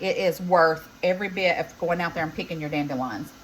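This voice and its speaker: A woman with a Southern US accent talks fairly quickly with ordinary pitch variation over noticeable background noise. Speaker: home cook vlogger. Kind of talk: cooking tutorial. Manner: casual, chatty.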